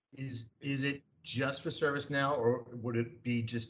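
This man talks with a New York accent, and his voice is somewhat breathy. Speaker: co-host.

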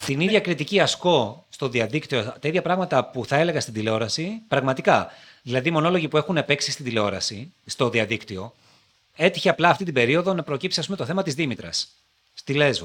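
A man speaks with a fairly high pitch and lively intonation. His pace is fairly quick. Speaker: TV presenter. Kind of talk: interview. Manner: articulate.

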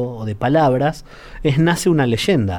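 On a very clean recording with a silent background, a man of medium pitch speaks fairly slowly with lively intonation. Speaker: radio host. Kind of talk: radio interview.

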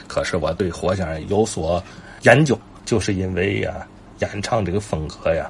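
Noticeable background noise sits behind a man with fairly low pitch. He talks at a moderate pace with ordinary pitch variation. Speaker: traditional folk-art enthusiast and commentator. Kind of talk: casual monologue.

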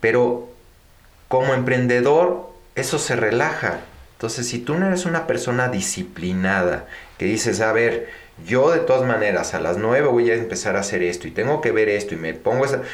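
Amid noticeable background noise and audible room echo, a man speaks at a medium pitch and moderate pace with lively intonation. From Mexico. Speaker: finance executive and entrepreneur. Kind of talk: interview.

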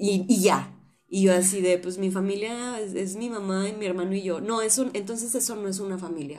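Audible room echo surrounds a woman whose dark, mellow tone holds fairly even intonation. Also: medium pitch for a woman, fairly quick pace. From Tampico, Mexico. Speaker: podcast host. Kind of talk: casual chat.

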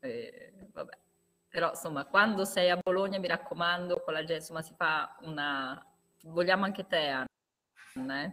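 Her tone bright and sharp, a woman talks at a moderate pace with a fairly low pitch. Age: 40s. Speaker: podcast host. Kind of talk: casual chat.

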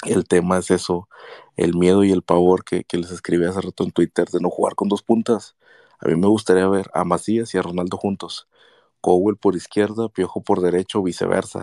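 A man's very deep, low voice with a dark, mellow tone and monotone, flat intonation at a moderate pace, dry and close with no echo, on a very clean recording with a silent background. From northern Mexico. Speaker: football fan. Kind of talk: casual chat.

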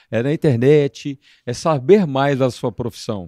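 The voice has a dark, mellow tone with ordinary pitch variation, recorded in a dry, close sound with no echo. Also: man. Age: 50s. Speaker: dance band leader. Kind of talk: casual interview.

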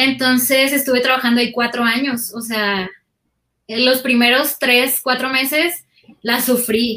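Bright and sharp in tone, a woman speaks at a high pitch and a moderate pace. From Mexico, Sinaloa (Guasave, Culiacán). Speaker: audiovisual producer and video editor. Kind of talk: casual interview chat. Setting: video call.

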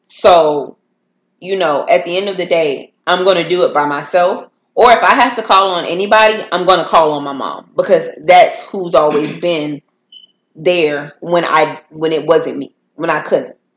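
A woman's fairly low, normal speaking voice with ordinary pitch variation at a moderate pace. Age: 20s. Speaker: podcast host. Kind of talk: casual chat.

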